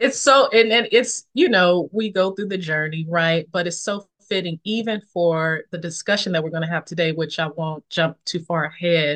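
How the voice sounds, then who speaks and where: Dry and close with no echo, a woman speaks in a plain, everyday voice at a moderate pace, her fairly low pitch showing ordinary variation. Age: 40s. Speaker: ministry founder and podcast host. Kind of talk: testimony.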